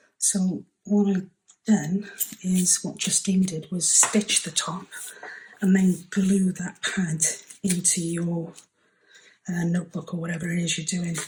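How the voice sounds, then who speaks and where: A soft-spoken, somewhat breathy woman's voice at medium pitch, monotone and flat, at a fairly slow pace with long, frequent pauses. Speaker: craft channel host. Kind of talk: tutorial. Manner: hesitant with many fillers.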